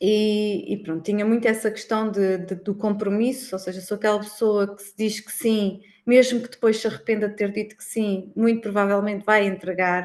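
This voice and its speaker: A woman speaks in an ordinary speaking voice. Her pace is moderate and her intonation fairly even. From Algarve, Portugal. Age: 30s. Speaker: accountant. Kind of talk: casual interview.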